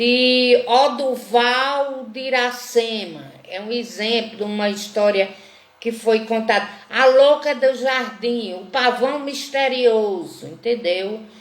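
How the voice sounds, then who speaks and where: A woman's high-pitched voice at a very slow pace, with ordinary pitch variation, big swings in loudness, audible room echo and noticeable background noise. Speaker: teacher of a literature course. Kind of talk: online lecture.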